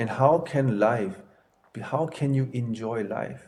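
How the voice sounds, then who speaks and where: A man's somewhat breathy voice has ordinary pitch variation. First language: not English. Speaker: martial arts master and temple headmaster. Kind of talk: interview.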